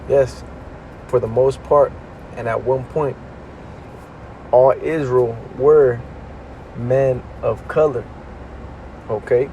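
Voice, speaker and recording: A medium-pitched man at a very slow pace, monotone and flat, with long, frequent pauses and noticeable background noise. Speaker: religious teacher. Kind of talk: religious lesson. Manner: casual, conversational.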